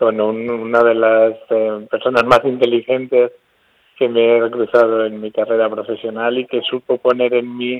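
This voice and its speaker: A man at medium pitch, talking at a fairly slow pace in a flat monotone. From Spain, Albacete. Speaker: neuroscientist, research institute director. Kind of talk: radio interview. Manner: halting.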